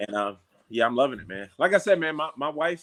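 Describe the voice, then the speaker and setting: A man speaks in a New York accent at a moderate pace. His intonation is lively. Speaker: MMA fighter. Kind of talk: casual chat. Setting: outdoors.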